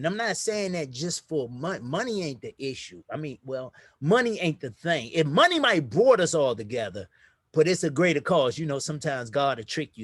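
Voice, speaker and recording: On a very clean recording with a silent background and a dry, close sound with no echo, the speaker talks fairly quickly in an animated tone, with very wide pitch swings and big swings in loudness. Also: man, fairly high pitch for a man. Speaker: crypto investment promoter. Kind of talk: casual chat.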